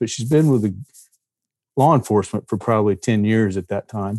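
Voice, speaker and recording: A man with a Texan accent talks fairly quickly at a fairly low pitch. The sound is dry and close with no echo over a quiet background. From Texas, near Fort Worth. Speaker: novelist and former deputy marshal. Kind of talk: casual interview.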